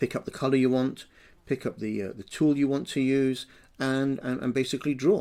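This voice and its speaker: Over a very clean recording with a silent background, a man speaks at a fairly quick pace. His medium-pitched voice keeps fairly even intonation. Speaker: education technology trainer. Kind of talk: screencast tutorial. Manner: fast; hesitant, many fillers.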